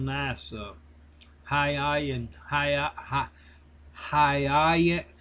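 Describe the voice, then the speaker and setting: A man's very slow pace in a Southern US accent. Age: 60s. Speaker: online reseller. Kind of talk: casual monologue. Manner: rambling, conversational.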